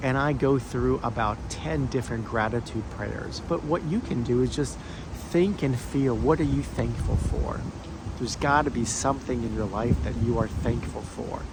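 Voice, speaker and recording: Noticeable background noise sits under this voice. It moves at a moderate pace with lively intonation. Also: man. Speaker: former stutterer, speech encouragement coach. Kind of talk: casual talk to camera. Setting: outdoors. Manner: slight remaining stutter.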